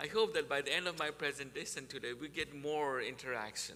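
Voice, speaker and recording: A man's fairly high voice with ordinary pitch variation at a fairly quick pace, over noticeable background noise. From Nepal. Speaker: university sustainability speaker. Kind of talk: presentation to a church group.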